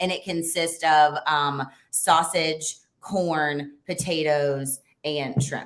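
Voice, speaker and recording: Speaking in a Lowcountry accent, a woman uses a very deep, low voice at a very slow pace with monotone, flat intonation. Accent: Southern US (Low Country). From US South, coastal Low Country (Beaufort). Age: 30s. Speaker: lawn care franchise owner. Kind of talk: interview.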